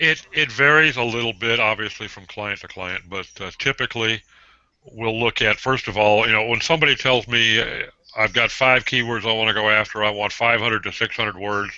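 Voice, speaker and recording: Fairly quick and fairly even in intonation, a man talks at medium pitch. It is a plain, everyday voice. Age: 60s. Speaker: copywriter. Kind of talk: casual hangout chat.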